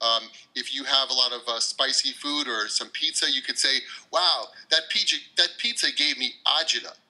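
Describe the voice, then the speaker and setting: A man talks at a moderate pace with an American accent, and noticeable background noise runs beneath him. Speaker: English teacher. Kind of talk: podcast interview answer. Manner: casual, hesitant.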